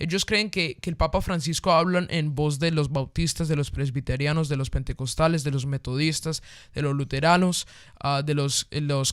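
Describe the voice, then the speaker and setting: Animated in tone, a man speaks at a fairly quick pace on a very clean recording with a silent background. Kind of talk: casual discussion of faith topics. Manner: fast.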